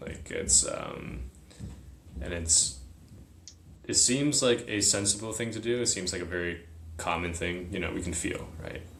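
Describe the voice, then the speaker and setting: A man with an American accent and a very deep, low pitch speaks at a fairly slow pace with ordinary pitch variation, and audible room echo around him. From US, partly raised in China as a small child. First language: Chinese. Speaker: military academy graduate, psychedelic retreat participant. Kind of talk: casual interview chat.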